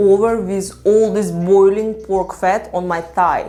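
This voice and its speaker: Noticeable background noise sits behind a speaker with a Ukrainian accent and ordinary pitch variation. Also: woman. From Ukraine. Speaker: psychology content creator. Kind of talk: personal storytelling vlog.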